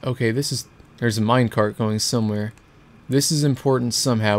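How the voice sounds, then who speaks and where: This man has a normal speaking voice. His pitch is medium, with fairly even intonation. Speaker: gaming video creator. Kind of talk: let's play commentary.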